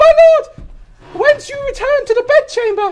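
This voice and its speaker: The put-on character voice is squeaky and pitched extremely high. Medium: stage play.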